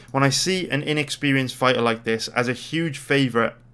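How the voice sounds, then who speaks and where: A man with a Welsh accent at a fairly quick pace. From Wales. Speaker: sports betting analyst. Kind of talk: casual video commentary. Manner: casual, energetic.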